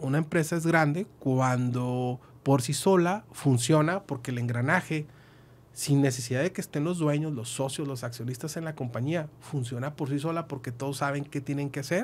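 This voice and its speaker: This man has a fairly high voice, keeps a moderate pace and varies his pitch in an ordinary way. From northern Mexico, Chihuahua. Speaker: accountant and business consultant; guest. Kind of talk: podcast interview; interview answer. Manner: hesitant, many fillers. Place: studio. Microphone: studio mic.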